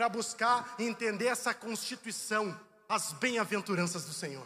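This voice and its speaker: A man with an extremely high pitch speaks at a fairly slow pace in a raised, projected voice. Noticeable background noise can be heard. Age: 40s. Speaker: pastor. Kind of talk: sermon. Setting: online livestream from church building.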